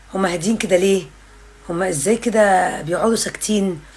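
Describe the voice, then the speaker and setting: Noticeable background noise sits behind a woman's medium-pitched voice. She speaks at a fairly slow pace with ordinary pitch variation. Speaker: parenting content creator. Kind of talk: casual vlog monologue. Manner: loud.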